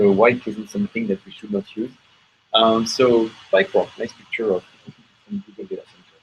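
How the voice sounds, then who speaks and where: With a French accent, a man speaks at a moderate pace, showing big swings in loudness and leaving long, frequent pauses. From France. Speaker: software engineer presenting at tech meetup. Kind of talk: tech talk presentation. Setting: meetup room with audience, broadcast on hangout.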